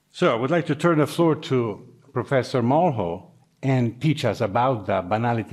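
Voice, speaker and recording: A man speaks with lively intonation in an Italian accent. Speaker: university program director. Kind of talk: formal introduction.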